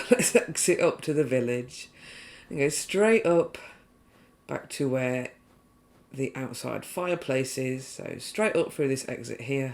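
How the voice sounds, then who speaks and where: The speech is mumbled, with long, frequent pauses. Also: fairly slow pace. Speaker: video game trophy guide creator. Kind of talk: game walkthrough commentary. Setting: poorly set up new microphone. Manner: a bit mumbly.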